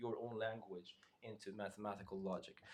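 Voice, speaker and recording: With a non-native accent, this man's speech moves along at a fairly quick pace. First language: not English. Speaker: math lecturer. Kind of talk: interactive lecture. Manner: halting.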